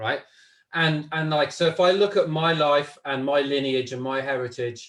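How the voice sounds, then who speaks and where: Fairly high-pitched, this man speaks with a British accent at a moderate pace and with ordinary pitch variation. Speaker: facilitator, course leader. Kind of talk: casual chat. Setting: live stream.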